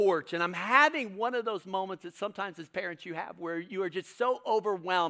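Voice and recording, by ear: A natural voice reading aloud, pitch varying in an ordinary way.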